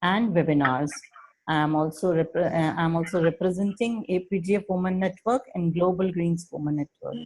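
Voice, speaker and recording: The speaker is a woman at a moderate pace. Her pitch variation is ordinary. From India. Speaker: program coordinator, moderator. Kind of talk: video call introductions.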